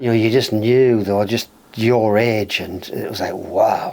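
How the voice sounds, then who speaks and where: With a Geordie accent, a man speaks in fairly even intonation over noticeable background noise. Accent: Geordie, lilting. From northern England, North Shields near Newcastle. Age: 60s. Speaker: musician. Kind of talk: casual chat.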